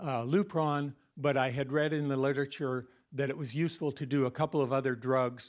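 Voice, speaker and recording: With an ordinary speaking voice, a man talks at a moderate pace in a fairly high pitch with fairly even intonation. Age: 60s. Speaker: support group member sharing cancer story. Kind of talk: personal talk to support group.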